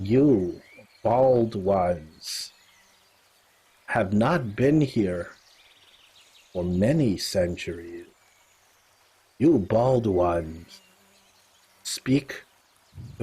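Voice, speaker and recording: A man's put-on character voice, guttural and fairly low, at a very slow pace. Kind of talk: archaic, formal. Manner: suspicious, accusing.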